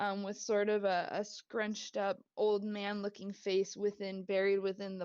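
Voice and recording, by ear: The clip has someone reading aloud in a natural voice.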